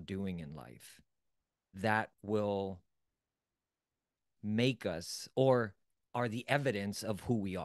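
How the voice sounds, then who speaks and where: Against a quiet background, a man speaks in a fairly low pitch with ordinary pitch variation and a dry sound with no echo. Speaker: self-development coach. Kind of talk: motivational lecture. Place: home room. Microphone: studio mic.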